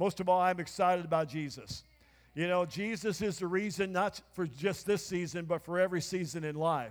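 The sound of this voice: With ordinary pitch variation, a man talks at a high pitch. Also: moderate pace.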